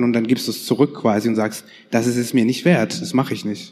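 This man has a plain, everyday voice at a medium pitch. He speaks at a moderate pace. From northern Germany. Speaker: podcast host. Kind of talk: casual chat.

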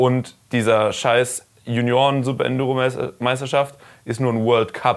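A man talks at a fairly slow pace. His medium-pitched voice has monotone, flat intonation. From Karlsruhe, Germany. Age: 20s. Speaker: enduro racer. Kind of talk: casual chat. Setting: recorded while traveling in the US.

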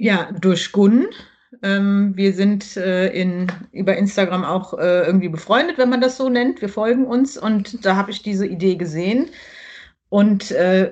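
Against a quiet background, a normal speaking voice moves at a fairly slow pace with ordinary pitch variation. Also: woman. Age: 40s. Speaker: primary school teacher. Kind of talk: casual interview.

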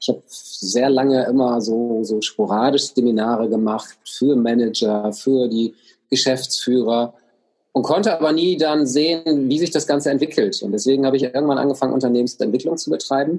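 With an ordinary speaking voice, a man talks at medium pitch and moderate pace with ordinary pitch variation. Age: 50s. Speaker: coach and speaker. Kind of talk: interview.

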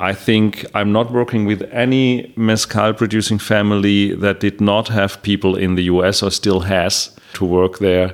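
In a German accent, a man speaks at a fairly low pitch and a moderate pace, with hardly any pauses. His intonation is monotone and flat, and his loudness stays very even. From Germany. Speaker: mezcal importer. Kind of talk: interview.

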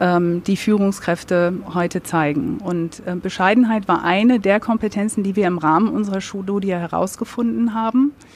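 In a plain, everyday voice, a woman speaks at medium pitch and a moderate pace, with ordinary pitch variation and hardly any pauses. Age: 40s. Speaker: business consultancy managing director. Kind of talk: live podcast interview. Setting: live recording with audience.

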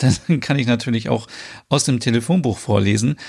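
A man's voice in a calm tone. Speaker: podcast host. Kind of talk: promotional announcement.

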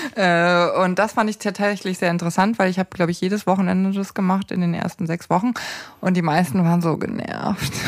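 Speaking in a normal speaking voice, a woman of medium pitch keeps fairly even intonation at a fairly quick pace. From Upper Bavaria, near Erding. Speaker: radio editor and podcast host. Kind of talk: casual interview.

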